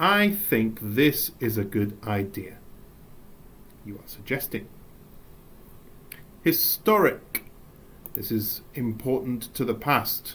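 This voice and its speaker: Speaking with an English accent, a man moves at a very slow pace with long, frequent pauses and lively intonation. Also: medium pitch for a man, big swings in loudness. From England. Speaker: English teacher. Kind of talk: recorded lesson. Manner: animated.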